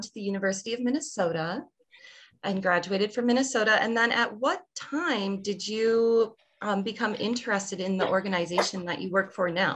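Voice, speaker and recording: At a fairly high pitch, a woman speaks at a moderate pace with ordinary pitch variation in an unremarkable speaking voice. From Wisconsin, US (Viroqua). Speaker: librarian. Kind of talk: interview.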